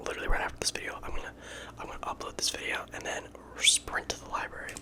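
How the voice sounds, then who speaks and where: Someone whispers at a very fast pace with big swings in loudness. Noticeable background noise runs underneath. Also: man. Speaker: college engineering student; ASMR creator. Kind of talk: ASMR whisper ramble. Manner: whispered; casual, chatty.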